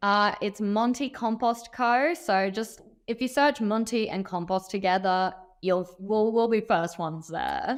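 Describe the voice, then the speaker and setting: A woman speaks at a fairly slow pace in a fairly high pitch. Her pitch varies in an ordinary way, and the recording is very clean with a silent background. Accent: Australian. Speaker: company founder. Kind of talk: casual chat.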